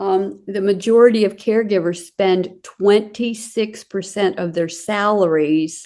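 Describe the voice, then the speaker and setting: Against a quiet background, a woman with a dark, mellow tone speaks at medium pitch and a fairly slow pace with fairly even intonation. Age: 70s. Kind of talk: interview. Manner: halting.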